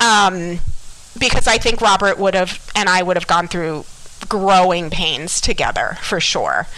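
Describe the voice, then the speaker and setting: A woman with an American accent speaks at a fairly slow pace and a medium pitch. Her pitch varies in an ordinary way over noticeable background noise. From Miami, Florida. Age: 40s. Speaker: school psychologist. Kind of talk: testimony.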